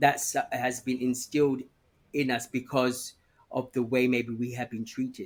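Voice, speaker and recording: A man at medium pitch, fairly slow, with monotone, flat intonation. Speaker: campaigner and guest. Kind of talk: casual interview chat. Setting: outdoors on a lawn. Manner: halting, repeating words.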